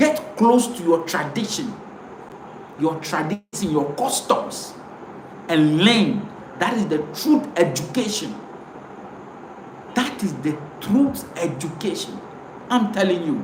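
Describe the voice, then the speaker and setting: Amid noticeable background noise and audible room echo, a man with a high voice speaks very slowly, with very wide pitch swings and long, frequent pauses. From Ghana, Ewe speaker. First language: Ewe. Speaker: pan-African commentator. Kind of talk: live stream monologue. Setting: live video stream to camera. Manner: impassioned, repetitive.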